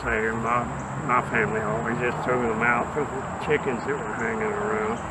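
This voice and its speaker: A man speaks at a medium pitch in a Southern US accent, with audible room echo and noticeable background noise. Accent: Southern US (Georgia). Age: 90s. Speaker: elderly man recalling rural life. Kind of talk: casual explanation and reminiscence. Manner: halting.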